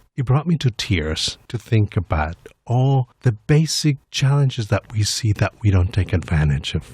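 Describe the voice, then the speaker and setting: Speaking fairly slowly with very wide pitch swings, a man sounds somewhat breathy in a dry, close sound with no echo. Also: medium pitch for a man. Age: 50s. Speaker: executive director of an HIV/AIDS service nonprofit. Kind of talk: radio interview. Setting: studio.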